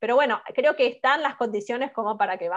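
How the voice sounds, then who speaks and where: A woman's fairly quick speech, with ordinary pitch movement, comes through over a quiet background. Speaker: political scientist, professor. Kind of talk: conference talk, Q&A answer. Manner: fast.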